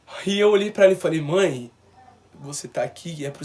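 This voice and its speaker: The speaker's intonation is lively. Noticeable background noise runs underneath. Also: man. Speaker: vlogger. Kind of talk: personal testimony.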